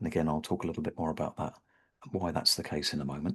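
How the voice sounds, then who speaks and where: The speaker is a man with a British accent. The background is quiet. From Britain. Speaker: havening practitioner. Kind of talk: webinar presentation. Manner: hesitant, with fillers and repeated words.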